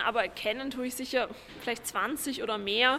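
Against noticeable background noise, a woman speaks in a raised, projected voice at a high pitch, with ordinary pitch variation and a moderate pace. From Vienna, Austria. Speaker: historian and author. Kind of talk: interview. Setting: on location at a housing estate.

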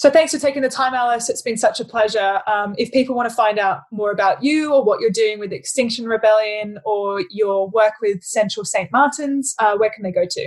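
In an Australian accent, a woman talks at a fairly quick pace and fairly high pitch, with ordinary pitch variation and hardly any pauses. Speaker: podcast host, head of sustainability. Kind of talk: casual interview conversation.

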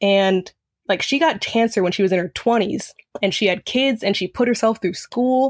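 In a very clean recording with a silent background, a woman speaks at a fairly high pitch and a moderate pace. It is an ordinary speaking voice, with very even loudness and ordinary pitch variation. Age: young. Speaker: college student. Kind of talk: interview.

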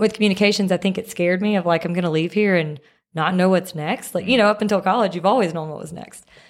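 A woman with a Mississippi accent at medium pitch, talking at a very fast pace. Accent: US Southern (Mississippi). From Mississippi (Picayune, near the Gulf Coast). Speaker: media company founder and CEO. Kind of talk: casual interview chat. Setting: studio.

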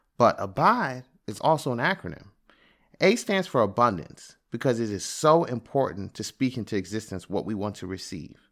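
With an American accent, a man talks at a moderate pace, his pitch swinging very widely and his loudness rising and falling in big swings. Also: medium pitch for a man, very clean recording, silent background. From Prince George's County, Maryland, US. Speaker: podcast host, father. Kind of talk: scripted narration.

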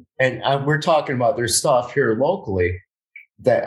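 He is a man with a medium-pitched voice. There is a somewhat breathy quality to it. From Miami, Florida (Westchester), Colombian family. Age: 40s. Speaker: podcast host. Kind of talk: casual interview chat. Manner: halting, repetitive stammering.

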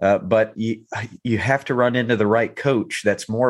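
In an American accent, an unremarkable speaking voice talks at a moderate pace with ordinary pitch variation. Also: man. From North Carolina. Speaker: youth baseball coach. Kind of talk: casual interview chat.

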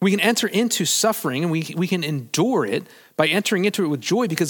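This man has an unremarkable speaking voice, pitched fairly high, with lively intonation. The recording is very clean, with a silent background. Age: 40s. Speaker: pastor. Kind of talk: sermon. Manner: casual, conversational.

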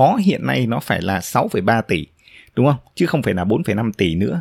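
Close and dry with no echo, the sound comes through on a very clean recording against total silence. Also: man. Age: 30s. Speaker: podcast host, blogger. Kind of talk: solo podcast monologue. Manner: frequent filler hesitations.

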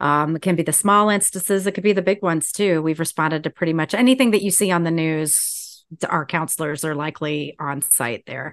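With an American accent, a woman speaks at a fairly quick pace with hardly any pauses, her fairly low pitch showing ordinary variation. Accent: slight Southern US, surfaces when nervous. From US South. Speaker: podcast host. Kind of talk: casual chat.

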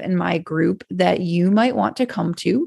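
Over a quiet background, a woman with a normal speaking voice talks at a moderate pace with lively intonation. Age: 40s. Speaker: podcast host and business coach. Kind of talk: solo podcast monologue. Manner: casual with frequent fillers and laughs.

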